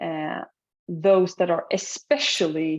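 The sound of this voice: At a low pitch, a woman speaks in a slightly mellow tone with vocal fry and a slightly husky edge.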